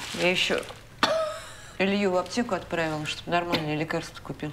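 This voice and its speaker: Noticeable background noise accompanies talking that moves at a fairly quick pace. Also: woman. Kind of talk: scripted drama dialogue. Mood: scolding, mildly annoyed. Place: home room.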